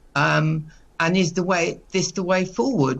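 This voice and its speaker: A woman with a medium pitch talks at a very slow pace, using ordinary pitch variation. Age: 60s. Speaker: caterer, small business owner. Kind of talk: news interview.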